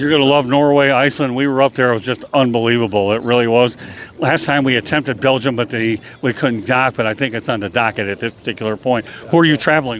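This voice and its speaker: The man talks at a very fast pace. His pitch is medium, with ordinary variation. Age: 60s. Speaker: travel show host. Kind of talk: casual interview.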